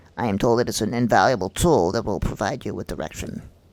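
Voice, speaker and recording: A man in a put-on character voice, fairly low-pitched, at a very fast pace. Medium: game stream. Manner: formal, measured.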